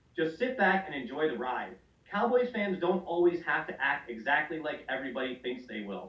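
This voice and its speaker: A man's fairly high voice at a fairly quick pace, with very wide pitch swings, amid noticeable background noise. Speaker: fantasy football podcast host. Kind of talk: reading aloud; casual podcast banter. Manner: animated.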